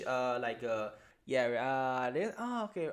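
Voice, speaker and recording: At a fairly slow pace, a man with a Chinese accent speaks in a medium pitch with lively intonation. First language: Mandarin Chinese. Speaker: elementary school English teacher. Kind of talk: interview. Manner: halting.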